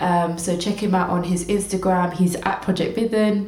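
Monotone, flat intonation from a woman, with noticeable background noise. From southeast England. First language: Tamil. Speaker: podcast co-host. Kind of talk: casual chat.

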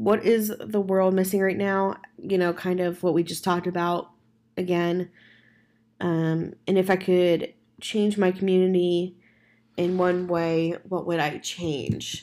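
In a very clean recording with a silent background, a woman speaks fairly slowly at medium pitch, her tone dark and mellow and her intonation fairly even. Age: 20s. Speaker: podcast host. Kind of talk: casual solo podcast monologue. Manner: rambling, self-correcting.

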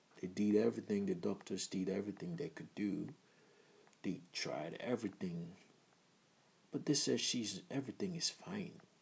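A man's fairly low voice with a Nigerian accent, lively intonation and a moderate pace. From Nigeria (Igbo, Abia State). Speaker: podcaster in the music business. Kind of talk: casual monologue. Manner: casual, hesitant with many fillers.

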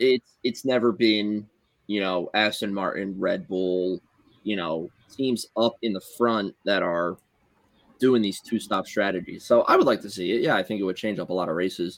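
A man with a Philadelphia accent talks at a moderate pace. His fairly low pitch shows ordinary variation. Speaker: podcast co-host. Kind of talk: casual chat.

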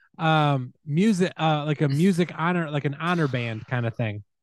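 A man speaks at a fairly high pitch in a plain, everyday voice. His pitch variation is ordinary, and the background is quiet. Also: dry, close sound with no echo. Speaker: podcast host. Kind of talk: casual chat.

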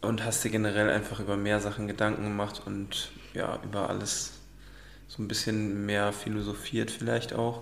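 The man keeps a moderate pace, and audible room echo hangs on his words. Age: 20s. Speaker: student, partner of the host. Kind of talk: casual chat.

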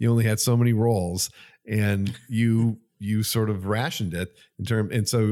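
A man's fairly low-pitched voice, fairly even in intonation and dark and mellow in tone, on a very clean recording with a silent background. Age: 60s. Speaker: camera retailer staff, veteran photographer. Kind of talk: casual chat.

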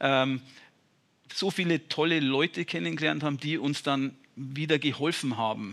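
A man speaks at a fairly high pitch with vocal fry and a bright, sharp tone, at a moderate pace and with ordinary pitch variation. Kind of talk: casual interview. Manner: plain-spoken, informal.

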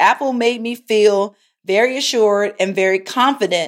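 A woman talks at a moderate pace with a Baltimore accent. The recording is very clean, with a silent background. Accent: Baltimore American English. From Baltimore, US. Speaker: podcast host, tech entrepreneur. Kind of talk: casual solo podcast monologue, product review.

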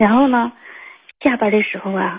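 A woman talks with ordinary pitch variation and keeps a moderate pace. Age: 20s. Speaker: caller. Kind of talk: phone-in confession. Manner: hesitant, many fillers.

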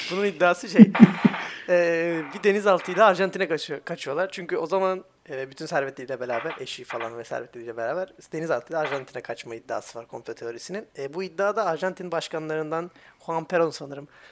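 A man speaks quite fast in a high voice. His intonation is lively. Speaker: podcast co-host. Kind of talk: casual chat.

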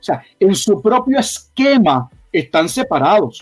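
A man's high-pitched voice with lively intonation. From Puerto Rico. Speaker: pastor and theology doctoral candidate. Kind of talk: bible teaching discussion.

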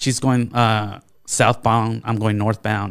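In a very clean recording with a silent background, a man speaks at a fairly low pitch and a fairly slow pace. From California, Bakersfield. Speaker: war veteran. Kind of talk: casual chat. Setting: studio. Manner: halting.

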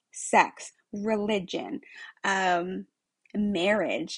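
A woman speaks at medium pitch with ordinary pitch variation and a somewhat breathy quality. The sound is dry and close with no echo, over a quiet background. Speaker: podcast host, retail executive. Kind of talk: casual monologue. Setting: home room.

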